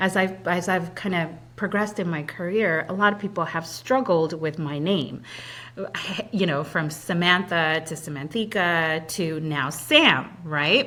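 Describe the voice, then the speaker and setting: Using an ordinary speaking voice, a woman talks at a fairly low pitch and a fairly slow pace with ordinary pitch variation. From immigrant, came to US at about 8, non-English-speaking home. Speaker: credit union executive. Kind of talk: interview.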